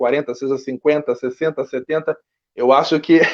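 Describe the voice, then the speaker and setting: Using a normal speaking voice, a man talks at a fairly high pitch with fairly even intonation. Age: young. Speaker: actor and writer. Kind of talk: interview.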